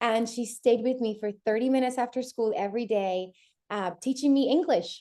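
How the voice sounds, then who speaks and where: Speaking with a Spanish accent, the woman has a fairly high pitch and a dark, mellow tone. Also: ordinary pitch variation, quiet background. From Puerto Rico, then New York from age 12. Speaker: bilingual homeschooling parent. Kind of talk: podcast interview. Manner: casual, with many fillers.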